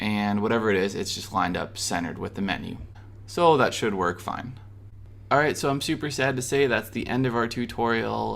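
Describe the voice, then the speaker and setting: A man's upbeat voice with vocal fry, at a moderate pace. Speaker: web design tutorial creator. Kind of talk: screen-recorded tutorial. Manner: casual, upbeat.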